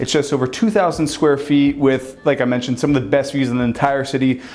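A man at a moderate pace, with faint music in the background. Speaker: real estate tour host. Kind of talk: tour presentation to camera. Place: home room.

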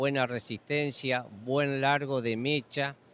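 A man's voice in an Argentine Litoral accent, monotone and flat, with a dry sound and no echo. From Argentina, Entre Ríos; Argentina. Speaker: sheep breeder. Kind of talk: interview. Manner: halting, many fillers. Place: hall. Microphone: handheld.

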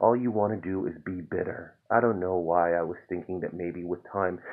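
Calm in tone, a man speaks with a very deep, low pitch. The background is quiet. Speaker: poet reading own work. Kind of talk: spoken word poetry reading, raw confessional and angry. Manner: builds from calm intro to bitter, exasperated intensity; rhythmic, repetitive incantation of refrains. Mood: calm, weary, reflective. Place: home room. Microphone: phone near.

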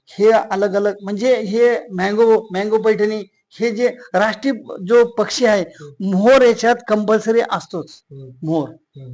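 A man speaks at a high pitch, and it varies in an ordinary way. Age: 60s. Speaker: master handloom weaver. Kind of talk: interview.

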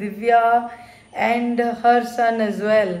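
Audible room echo surrounds a woman speaking at a very slow pace. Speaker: vlogger. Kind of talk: casual vlog chat. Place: home room. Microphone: phone near.

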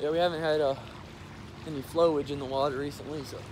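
A fairly quick pace with light background noise. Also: man. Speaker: vlogger. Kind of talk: casual vlog chat. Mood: strained, gasping, upbeat. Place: waterside.

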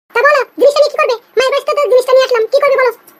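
This is a squeaky, cartoonish character voice. It runs at a very fast pace with fairly even intonation. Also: woman, extremely high pitch for a woman. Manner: complaining, defiant.

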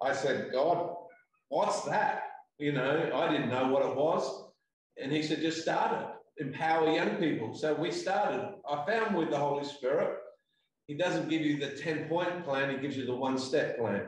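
With an Australian accent, a man speaks at a fairly high pitch and a moderate pace. His pitch varies in an ordinary way, and there is audible room echo. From South Australia. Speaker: pastor. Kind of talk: interview. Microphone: video call.

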